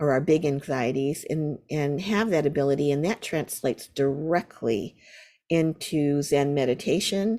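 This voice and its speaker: A woman's very deep, low voice with an American accent, dark and mellow in tone, with ordinary pitch variation at a moderate pace, in a very clean recording with a silent background. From US Midwest, rural Ohio near Akron. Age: 60s. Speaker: Buddhist meditation teacher and poet. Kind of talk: interview conversation. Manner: hesitant, with repetitions.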